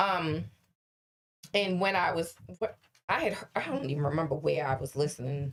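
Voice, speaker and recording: A woman talks at a moderate pace with a very deep, low pitch. Her pitch variation is ordinary. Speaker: podcast co-host. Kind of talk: casual chat. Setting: studio. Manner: loud.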